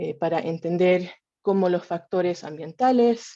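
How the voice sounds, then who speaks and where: A woman in a Chilean accent speaks at a moderate pace with a fairly low pitch and a dark, mellow tone, against a quiet background. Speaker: evolutionary biologist, researcher. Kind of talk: scientific talk. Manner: hesitant, with fillers and restarts.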